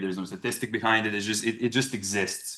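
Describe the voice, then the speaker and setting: Very fast and flat, a man's monotone voice sits at a fairly low pitch. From Serbia. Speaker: researcher. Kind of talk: conference talk. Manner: halting, frequent fillers and restarts.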